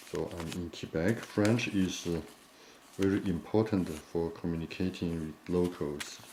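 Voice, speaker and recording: Over light background noise, a man with a Chinese accent and a very deep, low pitch talks at a fairly slow pace with fairly even intonation. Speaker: origami teacher and printing store owner; origami teacher. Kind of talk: tutorial. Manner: halting.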